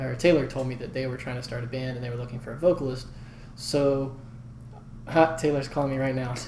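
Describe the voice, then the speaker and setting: Over noticeable background noise and audible room echo, a soft-spoken man talks very fast in a flat monotone, with long, frequent pauses. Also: medium pitch for a man. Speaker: singer and songwriter. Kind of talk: casual chat. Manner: calm and even.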